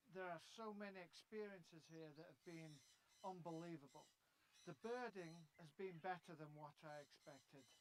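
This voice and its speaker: With ordinary pitch variation, this man talks at a high pitch. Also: moderate pace. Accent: English. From England. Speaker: bird book author. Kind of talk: interview.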